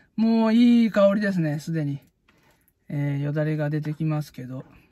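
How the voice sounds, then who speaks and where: Dark and mellow in tone and somewhat breathy, a man speaks at a moderate pace with ordinary pitch variation in a dry sound with no echo. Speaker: food vlogger. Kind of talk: casual vlog chat. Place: car. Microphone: phone near.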